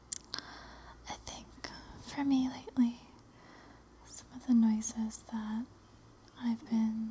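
A soft-spoken woman whispers at a very slow pace, with light background noise. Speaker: ASMR creator. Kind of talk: ASMR soft-spoken talk to camera with mic test. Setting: home recording, window open with leaf and wind noise in the background. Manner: soft-spoken, whispery. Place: home room. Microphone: studio mic.

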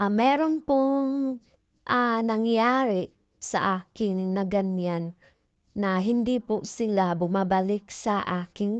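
A woman at medium pitch and a very slow pace, with a quiet background and a dry, close sound with no echo. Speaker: sari-sari store owner and vlogger. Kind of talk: casual vlog tutorial. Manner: halting, many fillers.

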